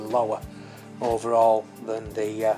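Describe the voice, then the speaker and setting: Music plays in the background while a man with a Yorkshire accent speaks at medium pitch. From Yorkshire, England. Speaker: kit car builder. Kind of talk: narrated project walkthrough. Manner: casual, hesitant.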